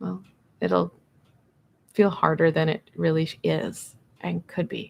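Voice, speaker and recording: Very slow speech from a woman. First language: not English. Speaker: tarot reader. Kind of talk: live tarot reading.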